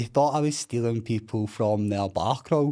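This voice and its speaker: A man's dark, mellow voice in a Scottish accent, medium in pitch with ordinary pitch variation and a fairly slow pace, on a very clean recording with a silent background. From Scotland, East Kilbride. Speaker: recovering addict sharing his story. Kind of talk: podcast interview, personal testimony. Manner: loud; animated.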